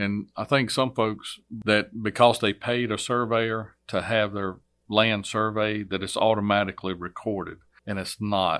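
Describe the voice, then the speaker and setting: In a Virginia accent, a man with a fairly low pitch speaks at a fairly slow pace in a flat monotone, on a very clean recording with a silent background. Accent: Southern US (Virginia). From Virginia, US South. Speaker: court clerk, former state trooper. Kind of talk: interview.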